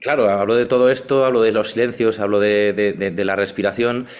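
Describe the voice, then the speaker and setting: At a moderate pace, a man with a normal speaking voice talks with fairly even intonation. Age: 40s. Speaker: sound therapist and former radio broadcaster. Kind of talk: casual interview.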